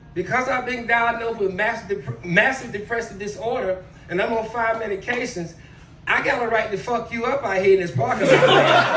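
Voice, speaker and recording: A man with an extremely high pitch talks in a raised, projected voice at a fairly quick pace, with ordinary pitch variation and audible room echo. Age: 60s. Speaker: stand-up comedian, military veteran. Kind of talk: stand-up. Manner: animated.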